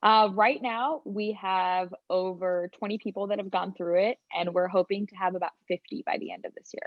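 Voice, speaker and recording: A woman with a normal speaking voice, medium in pitch, talks at a moderate pace with ordinary pitch variation, big swings in loudness and hardly any pauses. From Texas, US (born in India). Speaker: sales engineering program leader. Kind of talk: podcast interview.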